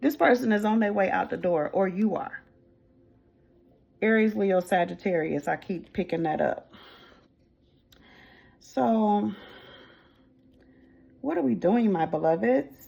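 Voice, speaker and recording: A woman with an American accent at medium pitch, her pitch swinging very widely, at a fairly slow pace with long, frequent pauses. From US Midwest. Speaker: tarot reader. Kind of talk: tarot reading to camera. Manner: casual, affectionate.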